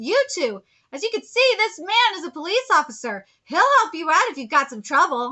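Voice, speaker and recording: A woman's put-on character voice, extremely high, with very wide pitch swings at a moderate pace. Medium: read story. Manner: matter-of-fact, analytical.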